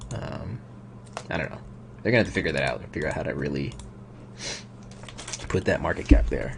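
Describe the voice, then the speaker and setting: A man with a very deep, low pitch mumbles at a very fast pace, broken by long, frequent pauses. His pitch swings very widely, his loudness varies a lot, and noticeable background noise is present. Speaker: crypto YouTuber. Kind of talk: live stream commentary. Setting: home at night, live stream. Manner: mumbling. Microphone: quiet microphone.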